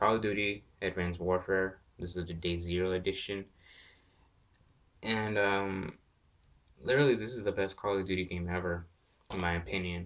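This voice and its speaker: Against a quiet background, a man with a very deep, low voice speaks with fairly even intonation and long, frequent pauses. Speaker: gaming YouTuber. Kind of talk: casual vlog, game collection showcase. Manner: quiet, lowered voice; hesitant, many fillers.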